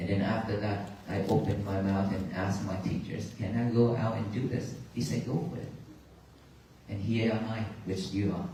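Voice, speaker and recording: A man with a Vietnamese accent talks at a moderate pace in a fairly low voice with fairly even intonation. The recording has audible room echo and noticeable background noise. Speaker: Buddhist monk. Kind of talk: dharma talk to audience. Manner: halting.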